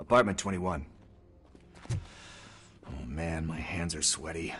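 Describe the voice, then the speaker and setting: A man puts on a raspy character voice with a very deep, low pitch. He speaks at a fairly slow pace with ordinary pitch variation. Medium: video game. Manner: casual, slangy, fidgety.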